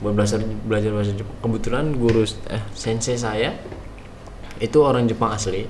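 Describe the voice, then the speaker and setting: A man's medium-pitched voice with a slight Bekasi accent, fairly quick yet full of long, frequent pauses, fairly even in intonation, with audible room echo and noticeable background noise. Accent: slight Bekasi accent in Indonesian. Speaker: vocational school alumnus, former intern in Japan. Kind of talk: interview. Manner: casual, many fillers.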